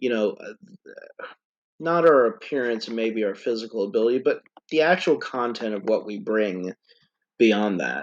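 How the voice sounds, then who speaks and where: A man with an unremarkable speaking voice, medium pitch, ordinary pitch variation, moderate pace and big swings in loudness. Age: 30s. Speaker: podcast host, fantasy author. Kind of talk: casual chat. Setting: podcast recording.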